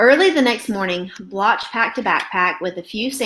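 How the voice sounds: What comes through here is a natural reading voice.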